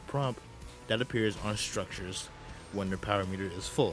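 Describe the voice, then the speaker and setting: Music plays in the background as a man speaks at a fairly quick pace. His pitch is fairly low, with ordinary variation. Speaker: gaming video narrator. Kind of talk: gaming documentary narration.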